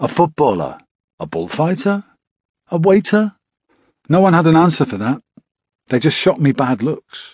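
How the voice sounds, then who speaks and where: In a dry, close recording with no echo, a man speaks at a fairly high pitch with very wide pitch swings and long, frequent pauses. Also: moderate pace. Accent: British. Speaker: audiobook narrator. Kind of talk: audiobook narration. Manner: measured, storytelling tone; shifts into quoted dialogue for the father and son.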